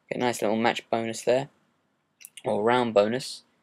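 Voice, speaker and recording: A man with a southern English accent speaks at a moderate pace. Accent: British, southern English. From southern England. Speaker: gaming commentator. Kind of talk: gameplay commentary. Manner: hesitant, many fillers.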